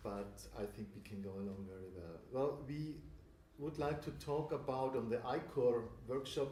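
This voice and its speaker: Someone with a German accent speaks at a fairly slow pace with ordinary pitch variation, and audible room echo surrounds the voice. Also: man. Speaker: church leader. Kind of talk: workshop talk. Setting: workshop with audience. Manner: halting, many fillers.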